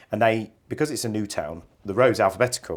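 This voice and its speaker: A man with a West Midlands accent at a fairly quick pace, on a very clean recording with a silent background. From West Midlands, England. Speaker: care company chief executive. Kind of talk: interview. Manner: halting, many fillers.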